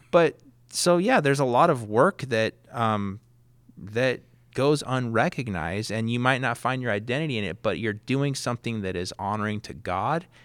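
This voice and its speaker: With a Californian accent, a man speaks at medium pitch and a moderate pace, his intonation lively. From Southern California. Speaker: high school history teacher. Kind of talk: casual interview. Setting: studio.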